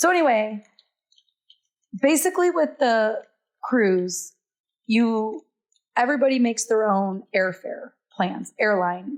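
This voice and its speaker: A fairly high-pitched woman's voice at a fairly slow pace, very even in loudness, with very wide pitch swings and long, frequent pauses. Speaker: podcast host and travel agent. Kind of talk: casual chat.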